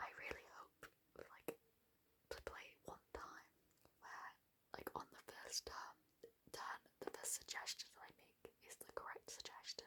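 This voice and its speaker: Whispering in a relaxed tone, the speaker goes at a fairly slow pace. Long pauses come often. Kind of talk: ASMR whisper video, explaining how to play a board game. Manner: whispered, relaxed rambling.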